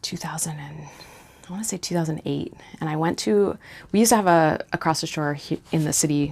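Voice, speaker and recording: Very deep and low in pitch, a woman's voice carries vocal fry and ordinary pitch variation. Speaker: cross-stitch vlogger. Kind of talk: casual show-and-tell vlog. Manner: hesitant, many fillers.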